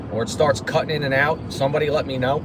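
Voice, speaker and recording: There is noticeable background noise and audible room echo. A man speaks with a New Jersey accent at a fairly high pitch. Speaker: pigeon racer livestreaming. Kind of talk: casual livestream chat.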